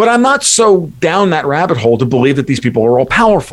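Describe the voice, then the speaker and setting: A man talks in a plain, everyday voice with an American accent. His intonation is lively and his pace fairly quick. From United States. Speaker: blogger and market analyst. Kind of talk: radio interview.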